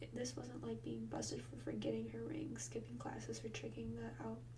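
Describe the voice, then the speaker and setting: Soft-spoken delivery at a moderate pace, over noticeable background noise. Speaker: ASMR creator. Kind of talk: reading aloud from a novel.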